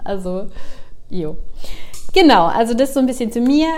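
A woman talks with lively intonation, her voice carrying audible room echo. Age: 40s. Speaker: podcast host. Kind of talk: casual monologue. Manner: many filler sounds (ähm).

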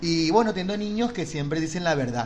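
A man talks at a fairly quick pace with lively intonation, amid audible room echo and noticeable background noise. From Venezuela. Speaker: podcast host. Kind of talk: casual chat.

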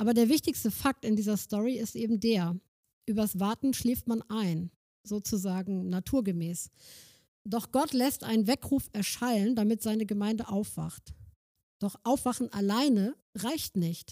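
A woman speaks at a fairly slow pace with fairly high pitch and a dark, mellow tone. The sound is dry and close, with no echo. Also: ordinary pitch variation. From northern Germany, Schleswig-Holstein (Kreis Plön). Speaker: missionary organisation worker. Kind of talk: sermon-style talk.

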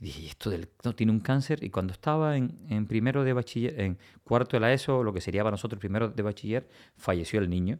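The recording is very clean, with a silent background. A man at a medium pitch speaks at a very fast pace with lively intonation. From Cuba, Villa Clara province. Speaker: oncologist. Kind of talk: interview.

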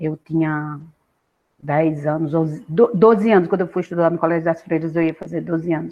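A woman speaks in a fairly low pitch at a moderate pace. Hers is an unremarkable speaking voice. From Pernambuco interior, Brazil (Agreste, near Caruaru). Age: 60s. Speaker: university professor. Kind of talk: interview, life story.

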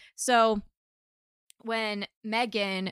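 A normal speaking voice from a woman at a medium pitch, dry and close with no echo, on a very clean recording with a silent background. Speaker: friend making brief appearance. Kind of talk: casual chat.

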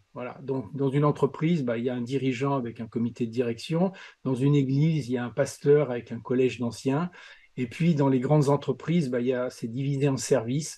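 A man with a medium-pitched voice and a dark, mellow tone speaks fairly quickly against a quiet background. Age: 60s. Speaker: leadership coach and consultant. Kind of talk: podcast interview. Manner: animated.

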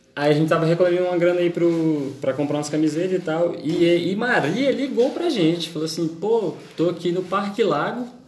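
A man's high voice with lively intonation, audible room echo, and noticeable background noise. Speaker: podcast host. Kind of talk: casual chat.

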